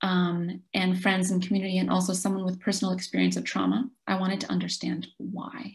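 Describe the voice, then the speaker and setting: Against a quiet background, a woman speaks at a fairly quick pace with vocal fry. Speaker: presenter. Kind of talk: presentation talk. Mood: earnest, reflective. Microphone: webcam.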